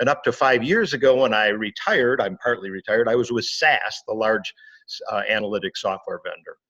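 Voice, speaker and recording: An unremarkable speaking voice from a man, medium in pitch with ordinary pitch variation, dry and close-sounding with no echo. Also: fairly quick pace. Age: 60s. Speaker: business consultant and author. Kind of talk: interview. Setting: podcast.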